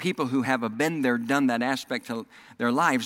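The voice has a bright, sharp tone and lively intonation, in a Southern US accent. The recording is very clean, with a silent background. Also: man. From US South, Oklahoma and Texas. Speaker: pastor. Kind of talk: sermon. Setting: church.

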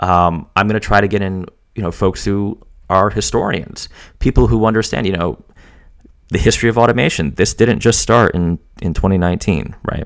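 The voice is a normal speaking voice. It moves at a fairly quick pace. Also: man, fairly low pitch for a man, ordinary pitch variation. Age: 30s. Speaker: podcast host and software consultant. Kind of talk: solo podcast monologue. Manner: casual, with many fillers.

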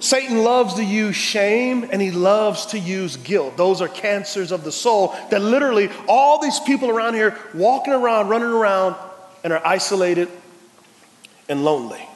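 Noticeable background noise and audible room echo surround the recording. A man with an American accent speaks at a high pitch and a moderate pace, with lively intonation. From Texas, San Antonio. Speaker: pastor. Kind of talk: sermon. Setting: church. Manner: animated.

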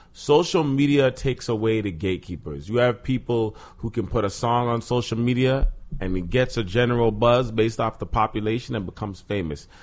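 Using an ordinary speaking voice, a man talks at a fairly quick pace in a medium pitch with ordinary pitch variation. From Toronto, Canada. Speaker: actor and podcast guest. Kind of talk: casual chat.

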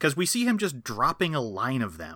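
A man speaks with a bright, sharp tone and very wide pitch swings. The recording is very clean, with a silent background. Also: dry, close sound with no echo. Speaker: guest co-host filling in. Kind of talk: casual chat. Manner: cheerful, joking.

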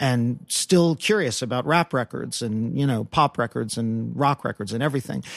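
A man with an unremarkable speaking voice talks at medium pitch and a moderate pace. The recording is very clean, with a silent background. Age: 40s. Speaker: pop music critic and chart analyst. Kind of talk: casual interview chat.

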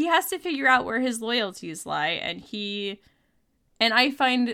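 A woman's fairly slow speech in an American accent, with vocal fry, a bright, sharp tone and very wide pitch swings. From New Jersey. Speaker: podcast guest. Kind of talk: casual chat.

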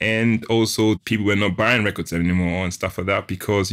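A man speaks at a very fast pace with fairly even intonation on a very clean recording with a silent background. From Switzerland, Ghanaian family. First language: German. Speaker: sound engineer and tech entrepreneur. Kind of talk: interview.

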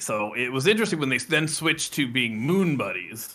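This man's voice sits at a medium pitch. Its tone is bright and sharp. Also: very clean recording, silent background. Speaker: podcast co-host. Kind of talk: casual chat.

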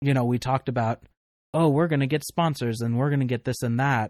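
An ordinary speaking voice from a man, fairly high-pitched with ordinary pitch variation, at a fairly quick pace. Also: dry, close sound with no echo. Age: 20s. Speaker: paranormal podcast host. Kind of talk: casual chat.

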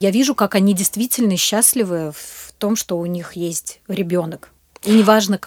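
A woman speaks in a plain, everyday voice at medium pitch with ordinary pitch variation and big swings in loudness. The sound is dry and close, with no echo. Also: moderate pace. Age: 40s. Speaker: charity program manager. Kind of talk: interview.

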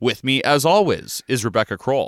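A man with a normal speaking voice talks at a moderate pace in a medium pitch, the sound dry and close with no echo on a very clean recording with a silent background. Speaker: audio producer and co-host. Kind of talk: podcast intro and outro reading.

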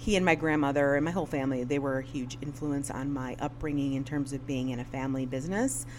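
A woman with a Chicago accent and a very deep, low pitch talks very fast with hardly any pauses, amid audible room echo. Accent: US Midwest (Chicago region). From Northwest Indiana. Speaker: business owner. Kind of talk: interview conversation. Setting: studio in her float center building. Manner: animated.

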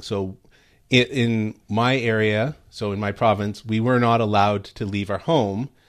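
An unremarkable speaking voice comes through with a Canadian accent and fairly even intonation. The background is quiet. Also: man. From Canada. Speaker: guest commentator. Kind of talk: talk radio discussion. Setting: remote connection.

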